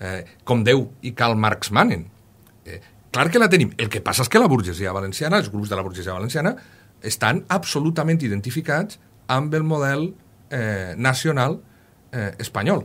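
A man at a moderate pace, his pitch making very wide swings. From Castelló, Valencian Country; Valencian Country. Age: 40s. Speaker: historian, university professor; university professor. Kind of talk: radio interview. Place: studio.

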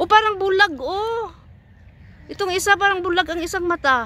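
A woman's raised, projected voice comes through dry with no echo, over light background noise. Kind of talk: casual vlog chat. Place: garden. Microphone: phone near.

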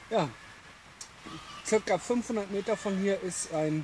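Fairly slow delivery with ordinary pitch variation, a slightly mellow tone and faint background noise. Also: man, high pitch for a man.

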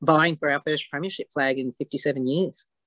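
A woman with an Australian accent and fairly even intonation, in a dry sound with no echo. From Australia, outside Victoria. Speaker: football club president. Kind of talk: interview. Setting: video call. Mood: proud, upbeat. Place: home room. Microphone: video call.

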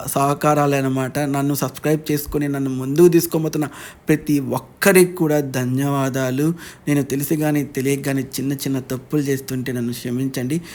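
A man speaks fairly high in pitch with monotone, flat intonation. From Andhra Pradesh, Atmakur. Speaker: vlogger. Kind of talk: casual vlog talk. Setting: on a vehicle with friends.

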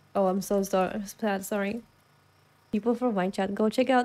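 A woman speaks with a Swedish accent. Her pace is moderate, her pitch variation ordinary. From Sweden. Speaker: gaming video creator. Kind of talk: casual gameplay commentary. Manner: excitable, loud at times; animated, laughs often. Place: home room. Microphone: studio mic.

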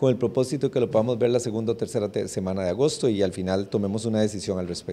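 With ordinary pitch variation, the man rattles along at a very fast pace. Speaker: legislator. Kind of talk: interview soundbite. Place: hall. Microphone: handheld.

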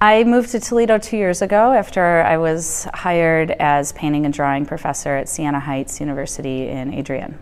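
With a Midwestern accent, the speaker moves at a fairly quick pace with lively intonation and hardly any pauses. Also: woman, very deep, low pitch for a woman. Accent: US Midwest (Ohio). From Ohio, Cleveland; Ohio. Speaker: artist and art professor; art professor. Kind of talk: interview monologue. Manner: hesitant, frequent fillers. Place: studio. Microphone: lapel.

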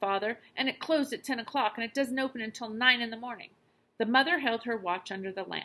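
This is an unforced reading voice. Its pitch shows ordinary variation.

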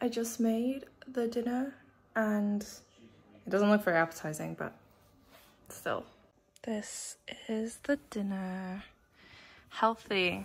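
Her fairly high voice is somewhat breathy. The woman speaks at a very slow pace, with long, frequent pauses. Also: ordinary pitch variation. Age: 20s. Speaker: university student. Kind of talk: casual vlog talk to camera. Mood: apologetic, slightly tired.

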